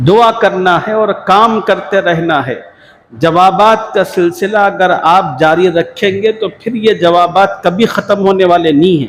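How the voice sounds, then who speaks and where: A man's voice sits high. Its pitch moves in an ordinary way. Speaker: Islamic scholar giving a sermon. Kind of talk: religious sermon (bayan).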